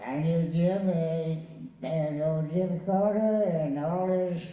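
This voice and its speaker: A man with an American accent, high pitch and fairly even intonation, over noticeable background noise. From Southern US. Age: 80s+. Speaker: war veteran. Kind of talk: interview answer.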